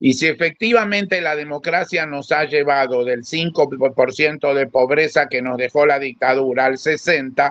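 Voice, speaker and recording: Here is a man with an unremarkable speaking voice, fairly high in pitch with ordinary pitch variation. He keeps a moderate pace with hardly any pauses. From Argentina. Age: 60s. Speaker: panelist. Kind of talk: panel discussion.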